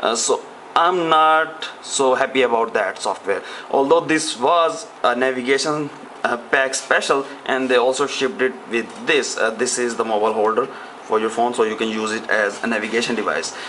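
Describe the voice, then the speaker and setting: A man speaks at a medium pitch and a moderate pace with ordinary pitch variation. Noticeable background noise runs underneath. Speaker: tech reviewer. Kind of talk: product review. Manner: hesitant with frequent fillers.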